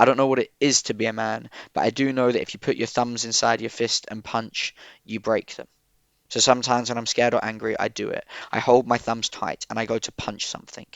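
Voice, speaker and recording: A man with an Essex accent at a very fast pace. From Southend, Essex, UK. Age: 20s. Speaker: spoken word poet. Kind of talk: poetry reading.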